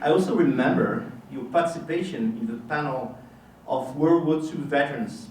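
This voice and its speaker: Speaking at a moderate pace with a fairly high pitch and lively intonation, a man is heard amid noticeable background noise and audible room echo. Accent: French. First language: French. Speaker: history professor. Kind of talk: formal lecture. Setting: lecture hall with audience. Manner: formal.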